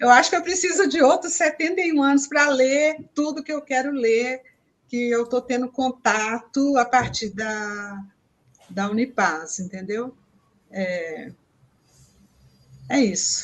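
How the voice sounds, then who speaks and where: At a very slow pace and with long, frequent pauses, a woman speaks high in pitch with very wide pitch swings. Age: 70s. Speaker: peace education course participant. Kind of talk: casual chat on a live stream.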